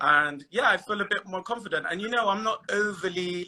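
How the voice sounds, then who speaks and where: A man's bright, sharp voice in a Bristol accent at a fairly slow pace. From Bristol, England. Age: 30s. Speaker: guest on dating live stream. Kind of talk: casual chat.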